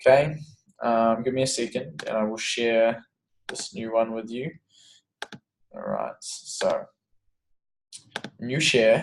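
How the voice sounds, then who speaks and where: A man with an Australian accent speaks at a very slow pace, leaving long, frequent pauses. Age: 20s. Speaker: fitness coach. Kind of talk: online webinar tutorial. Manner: casual.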